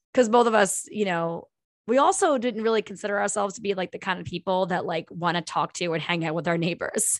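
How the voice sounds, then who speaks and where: A woman talks at a fairly quick pace in an animated tone. Her intonation is lively. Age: 40s. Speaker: podcast host, teacher. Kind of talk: casual chat.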